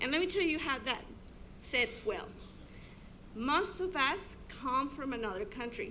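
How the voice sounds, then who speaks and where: A woman's raised, projected voice with a non-native accent, high pitch, very wide pitch swings and a bright, sharp tone, at a moderate pace amid audible room echo. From abroad, immigrated to US. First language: not English. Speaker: teacher. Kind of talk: keynote speech.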